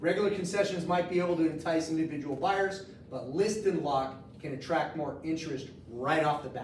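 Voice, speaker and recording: In a room with audible echo, a man with a high pitch speaks with ordinary pitch variation. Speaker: mortgage loan officer teaching a class. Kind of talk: training class. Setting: office meeting room with audience. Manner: animated.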